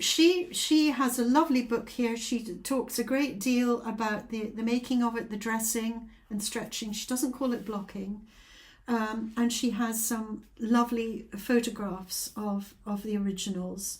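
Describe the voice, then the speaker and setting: A woman with a Scottish accent, her pitch fairly high and her intonation fairly even, at a fairly slow pace. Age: 70s. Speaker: craft vlogger. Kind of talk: casual chat. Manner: hesitant, many fillers.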